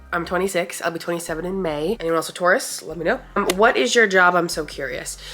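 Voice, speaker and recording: Very fast speech from a woman with an American accent, fairly low pitch, ordinary pitch variation and hardly any pauses, over noticeable background noise. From New York, Long Island. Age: 20s. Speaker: vlogger. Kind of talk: casual chat. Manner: halting.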